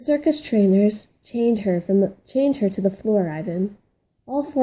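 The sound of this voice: Over a quiet background, this unforced reading voice carries lively intonation.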